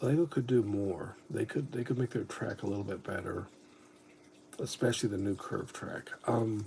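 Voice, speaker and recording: Somewhat breathy, with a dark, mellow tone, a man speaks at a moderate pace with ordinary pitch variation. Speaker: Lego hobby streamer. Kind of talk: casual livestream chat.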